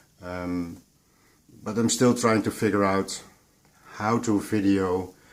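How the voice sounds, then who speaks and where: Speaking at a very slow pace, a man with a Dutch accent keeps a fairly low pitch and fairly even intonation. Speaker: audio and coffee vlogger. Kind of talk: unscripted vlog. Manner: halting, searching for words.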